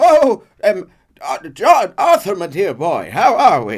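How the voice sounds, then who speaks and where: A man's shaky, put-on character voice in an English accent, high in pitch, at a fairly slow pace with big swings in loudness. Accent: faux English. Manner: shaky, overly familiar.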